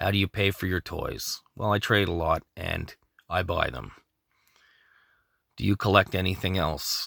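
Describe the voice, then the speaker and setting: In a very clean recording with a silent background and a dry, close sound with no echo, a man with a very deep, low voice and a bright, sharp tone speaks at a moderate pace with fairly even intonation. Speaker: toy collector vlogger. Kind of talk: casual Q&A vlog. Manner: choppy, starts and stops; unscripted, off the cuff.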